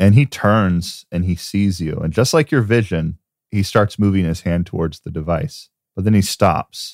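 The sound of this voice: Ordinary pitch variation in an unforced reading voice, over a quiet background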